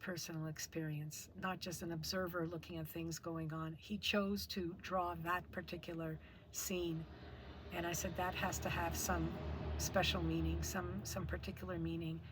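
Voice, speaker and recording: A woman's voice at a moderate pace, with audible echo from the room. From Quebec (Montreal). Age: 60s. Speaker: artist. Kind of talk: testimony. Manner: halting.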